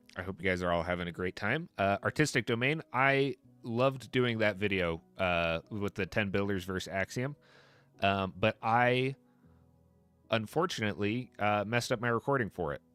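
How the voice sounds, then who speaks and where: There is music in the background. A man talks at a moderate pace in a fairly low pitch. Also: ordinary pitch variation. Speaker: Minecraft streamer. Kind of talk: casual live stream chat.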